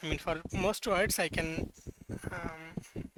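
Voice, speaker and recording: A man at a very slow pace with a non-native accent, over noticeable background noise. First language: not English. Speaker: hobbyist programmer. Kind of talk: casual software demo. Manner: halting, many fillers and self-corrections.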